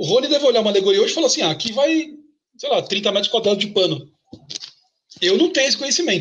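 Marked by a high pitch and very wide pitch swings, a man speaks at a very fast pace with long, frequent pauses. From São Paulo, Brazil. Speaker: samba composer. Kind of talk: casual interview.

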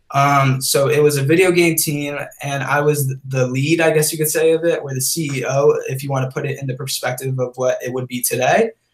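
A normal speaking voice from a man, fairly high in pitch, at a moderate pace with fairly even intonation and hardly any pauses. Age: 20s. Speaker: creative director and content creator. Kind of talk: casual interview.

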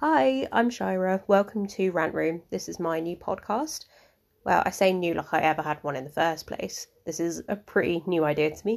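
The speaker has a southern English accent and ordinary pitch variation. The pace is moderate, and the recording is very clean with a silent background. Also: woman, fairly low pitch for a woman. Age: 20s. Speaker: podcast host. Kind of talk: casual monologue. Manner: hesitant, with many fillers.

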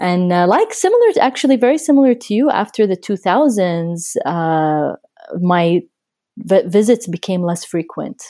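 In a very clean recording with a silent background, the speaker uses a dark, mellow tone, lively intonation and a moderate pace. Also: woman, medium pitch for a woman. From Abu Dhabi, Iraqi family. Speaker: artist and author. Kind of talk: interview.

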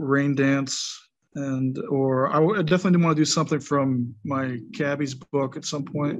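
A man's unremarkable speaking voice, fairly high for a man, in an American accent at a fairly slow pace against a quiet background. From Wisconsin, US. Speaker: author and poet. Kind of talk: casual interview chat.

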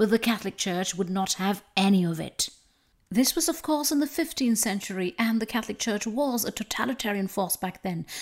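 A woman speaks in a normal speaking voice at a fairly high pitch. Her intonation is lively. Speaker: podcast host. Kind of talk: history documentary narration. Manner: formal, measured; earnest, solemn.

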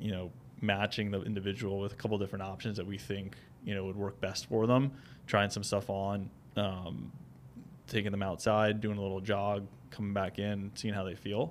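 A man's fairly low, monotone voice with flat intonation, in an American accent at a moderate pace. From New Jersey. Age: 30s. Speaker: running shoe store owner. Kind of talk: casual interview.

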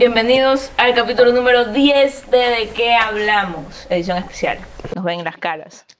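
A woman speaks at a fairly slow pace in a high voice with ordinary pitch variation, and the room echo is audible. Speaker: podcast host. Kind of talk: casual chat.

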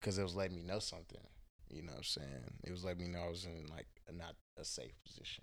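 A man with an American accent speaks at a very fast pace in a very deep, low pitch with vocal fry and ordinary pitch variation. Audible room echo is present. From Houston, Texas. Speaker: spiritual guide. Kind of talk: casual chat. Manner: animated.

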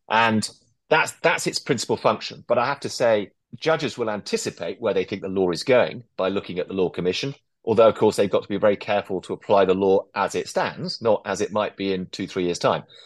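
The speaker has an English accent and talks at a fairly quick pace. Pitch varies in an ordinary way over a quiet background. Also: man, fairly low pitch for a man. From England. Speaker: barrister. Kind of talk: interview. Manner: articulate.

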